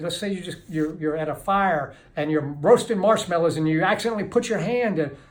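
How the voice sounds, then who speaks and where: A man with an American accent speaks in a high voice, with ordinary pitch variation and an animated tone. Room echo is audible. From Kentucky, US. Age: 60s. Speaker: addiction recovery author and speaker. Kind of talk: motivational talk to camera. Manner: animated, with halting restarts.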